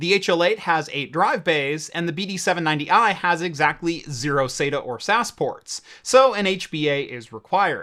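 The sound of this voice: A man speaks at a moderate pace with lively intonation, a bright, sharp tone, fairly high pitch and few pauses.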